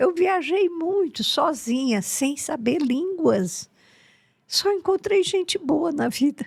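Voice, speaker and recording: The voice moves at a very slow pace with lively intonation and very even loudness. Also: woman, extremely high pitch for a woman. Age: 80s+. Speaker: therapist. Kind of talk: interview.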